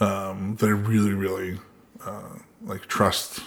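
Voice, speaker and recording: The speaker is a man. His voice sits fairly low in pitch. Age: 40s. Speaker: podcast guest sharing life story. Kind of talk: casual interview, personal story.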